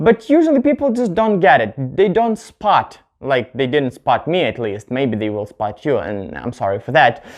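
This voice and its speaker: The speaker has a non-native accent, moves at a moderate pace, and uses very wide pitch swings. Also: man. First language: not English. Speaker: English teacher YouTuber. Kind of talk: tutorial. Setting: on camera at home. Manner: halting, with self-corrections.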